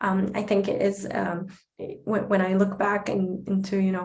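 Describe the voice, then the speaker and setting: A woman speaks at a moderate pace and a medium pitch with an Arabic accent, her intonation monotone and flat, with noticeable background noise and audible room echo. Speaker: advocate and speaker. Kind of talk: Q&A answer at online talk.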